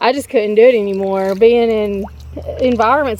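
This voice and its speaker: A woman speaks with a slight Southern accent. Her pitch is fairly high. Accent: slight southern drawl. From Georgia (US South). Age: 30s. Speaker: travel vlogger. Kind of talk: casual chat.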